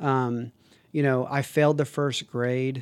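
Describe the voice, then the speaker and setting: With an American accent, a man of medium pitch talks at a moderate pace using fairly even intonation. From Texas, San Antonio. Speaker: recovery program advocate. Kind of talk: interview. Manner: halting.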